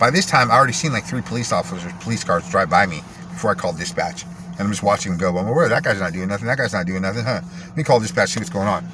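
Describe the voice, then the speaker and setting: Amid noticeable background noise, a man talks very fast in an animated tone, his fairly low pitch swinging very widely. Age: 40s. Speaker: vlogger telling personal story. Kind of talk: personal storytelling monologue.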